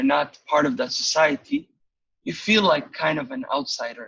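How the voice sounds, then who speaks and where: Using very wide pitch swings, a man in a Somali accent speaks at a moderate pace with a bright, sharp tone. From Somalia. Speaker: occupational safety practitioner and student. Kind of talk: interview conversation. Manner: hesitant, with many fillers.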